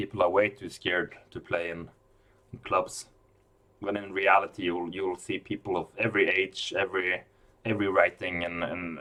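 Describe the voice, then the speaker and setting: A bright, sharp tone at a moderate pace, with a Norwegian accent. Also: man. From Norway. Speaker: chess commentator. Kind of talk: live commentary. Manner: halting, with repeated words.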